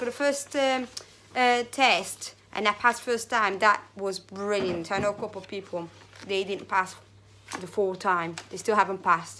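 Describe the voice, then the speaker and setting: Non-native accented speech from a woman, delivered at a moderate tempo. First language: not English. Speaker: vlogger. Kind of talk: casual vlog monologue. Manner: halting.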